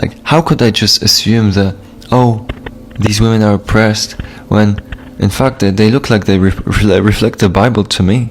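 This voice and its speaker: A man speaks with a Polish accent at a moderate pace, his pitch fairly low and his intonation fairly even. His loudness stays very even, and there is noticeable background noise. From Poland. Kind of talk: testimony.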